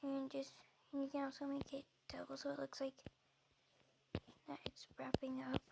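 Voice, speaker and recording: A woman speaks at a moderate pace with long, frequent pauses. The sound is dry and close, with no echo. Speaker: video tutorial creator. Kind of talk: tutorial. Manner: halting.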